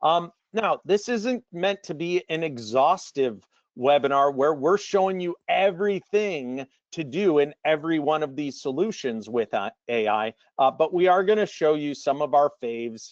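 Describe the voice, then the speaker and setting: An ordinary speaking voice from a man, fairly high in pitch with lively intonation at a moderate pace, dry and close with no echo against a quiet background. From Canada. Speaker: marketing staff, webinar presenter. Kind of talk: business webinar presentation. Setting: online webinar.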